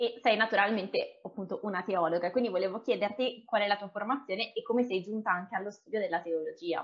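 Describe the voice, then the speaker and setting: Her medium-pitched voice runs at a very fast pace with hardly any pauses, as this woman keeps her intonation fairly even. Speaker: podcast host. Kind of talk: interview conversation.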